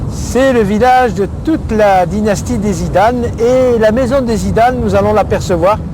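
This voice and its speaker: A man with a Marseille accent speaks at a fairly slow pace and very even loudness. Noticeable background noise and audible room echo fill the recording. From France, Marseille. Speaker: businessman and documentary subject. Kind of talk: documentary conversation.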